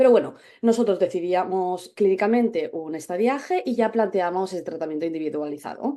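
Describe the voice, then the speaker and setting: With a Spanish accent, a woman talks at a fairly quick pace in a medium pitch, with a dark, mellow tone and lively intonation. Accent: Spanish (Spain). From Spain. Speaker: dermatologist. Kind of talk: webinar presentation. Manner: hesitant, many fillers.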